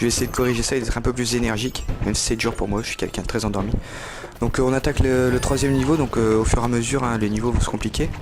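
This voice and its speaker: Over noticeable background noise, a man at medium pitch speaks at a very fast pace in a monotone, flat intonation. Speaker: gaming youtuber. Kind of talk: let's play commentary. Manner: sleepy, low energy; hesitant, many fillers.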